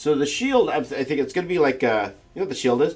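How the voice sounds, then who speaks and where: A man with vocal fry and a fairly quick pace. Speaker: artist livestreaming a drawing session. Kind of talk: live stream chat while drawing. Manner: mumbling; casual, halting with repetitions.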